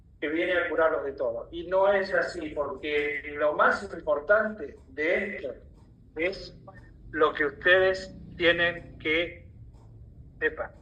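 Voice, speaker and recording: With long, frequent pauses, a man talks very slowly in a high voice with fairly even intonation, amid audible room echo and noticeable background noise. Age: 80s+. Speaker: alternative health lecturer. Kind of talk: lecture.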